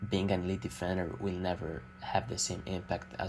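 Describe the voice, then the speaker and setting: The speaker uses lively intonation with an Italian accent at a moderate pace. Vocal fry runs through the voice. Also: man. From Italy. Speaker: amateur basketball YouTuber. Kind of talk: unscripted opinion monologue. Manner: hesitant, many filler sounds.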